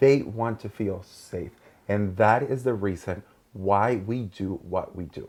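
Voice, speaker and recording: In a Mexican accent, a man speaks at a very slow pace, his fairly low pitch showing ordinary variation. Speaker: podcast host. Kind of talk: casual chat.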